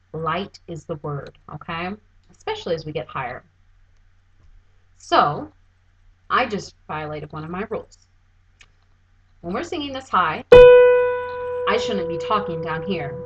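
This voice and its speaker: A woman speaks at a fairly slow pace with long, frequent pauses and big swings in loudness while music plays in the background. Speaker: voice teacher. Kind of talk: tutorial. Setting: home recording, seated.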